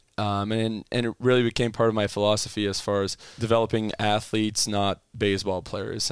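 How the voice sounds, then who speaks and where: Pitched fairly low, a man's voice moves at a fairly quick pace. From Ottawa, Canada. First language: French. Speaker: baseball strength and conditioning coach. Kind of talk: casual interview.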